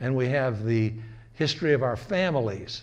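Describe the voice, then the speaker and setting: A man with an American accent at a medium pitch and moderate pace, ordinary pitch variation, and audible room echo. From US North. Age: 80s+. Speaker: lecturer. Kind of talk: lecture. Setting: community gathering, recorded on camera. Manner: halting.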